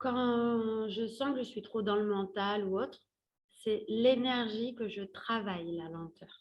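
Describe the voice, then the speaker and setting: Speaking very slowly, a woman uses a fairly high voice with ordinary pitch variation. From Paris, France. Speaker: career coach. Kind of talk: workshop talk. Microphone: different earphones, crackling mic.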